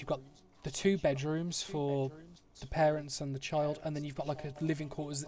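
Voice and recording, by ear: A man speaks in a fairly high voice at a moderate pace. His tone is slightly mellow.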